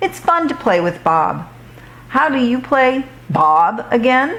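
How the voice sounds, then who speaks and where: In a put-on character voice, a female-sounding speaker goes fairly slowly at a high pitch with very wide pitch swings, over light background noise. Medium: read story.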